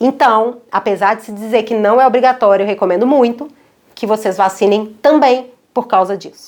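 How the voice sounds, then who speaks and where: Her pitch is fairly high, with ordinary pitch variation. The woman talks at a moderate pace. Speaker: pediatrician. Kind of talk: educational talk to camera. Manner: animated.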